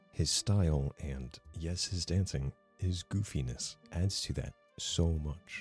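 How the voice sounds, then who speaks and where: Over background music, a man speaks very slowly in a very deep, low voice with ordinary pitch variation. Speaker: video essayist. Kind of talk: video essay narration. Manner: casual, self-deprecating.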